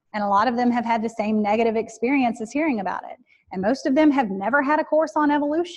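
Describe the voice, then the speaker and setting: With a Southern US accent, a woman speaks fairly quickly at a fairly high pitch, with ordinary pitch variation. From rural Alabama, US South. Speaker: professor. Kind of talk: lecture Q&A. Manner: loud; preacher-like delivery.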